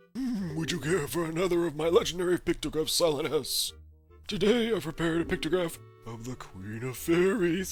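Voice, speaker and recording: Someone uses a put-on character voice at a middle pitch and a fairly quick pace. Faint music plays in the background. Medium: solo performance. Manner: theatrical, self-satisfied.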